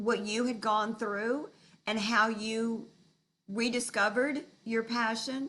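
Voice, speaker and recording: A woman at a very slow pace. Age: 70s. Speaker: dancer sharing her reinvention story. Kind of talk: interview.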